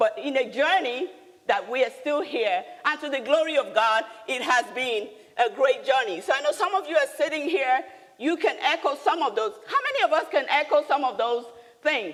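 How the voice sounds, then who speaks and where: A woman with a Nigerian accent speaks in an animated tone with lively intonation and a high pitch. Noticeable background noise can be heard. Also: moderate pace. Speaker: business leader and speaker. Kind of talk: motivational talk. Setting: stage with audience.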